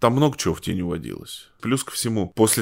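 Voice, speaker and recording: A man speaks with vocal fry. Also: very clean recording, silent background. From Russia, Tomsk (Siberia). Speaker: journalist and local historian, novelist. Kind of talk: interview. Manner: halting, many fillers.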